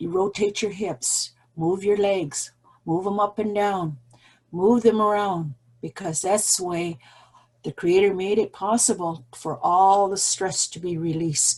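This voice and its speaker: A woman's somewhat breathy voice with a dark, mellow tone, ordinary pitch variation and a fairly slow pace. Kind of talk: opening address. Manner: shaky voice; halting.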